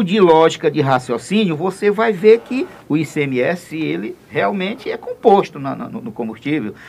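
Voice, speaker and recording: A man's high voice with very wide pitch swings, fairly slow, amid noticeable background noise. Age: 60s. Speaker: state deputy, politician. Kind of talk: radio interview.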